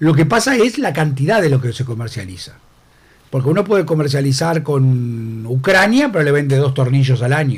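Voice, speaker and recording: A man's fairly high, somewhat breathy voice with a Uruguayan accent, lively intonation and a moderate pace. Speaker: politician. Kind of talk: radio interview.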